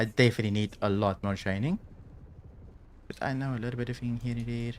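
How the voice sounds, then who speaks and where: The speaker is soft-spoken, with fairly even intonation. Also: man. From South Africa. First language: Afrikaans. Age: 30s. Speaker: video game streamer. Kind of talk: live gameplay commentary. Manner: calm, not loud.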